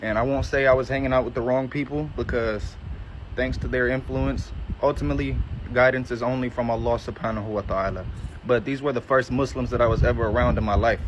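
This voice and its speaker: Someone with a Southern US accent talks at a very fast pace with ordinary pitch variation. Noticeable background noise is present. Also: man, medium pitch for a man. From US South, Georgia, Metro Atlanta. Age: 20s. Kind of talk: testimony. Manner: casual.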